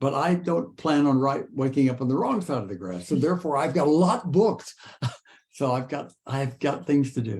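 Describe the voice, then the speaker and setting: A somewhat breathy male voice at a moderate pace, with very wide swings in pitch. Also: fairly high pitch for a man. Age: 80s+. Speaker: author. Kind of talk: interview.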